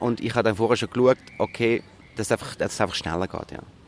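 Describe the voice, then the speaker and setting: This voice belongs to a man. It has a medium pitch. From Switzerland, Zurich. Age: 40s. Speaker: musical performer. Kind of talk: interview. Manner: hesitant, many fillers.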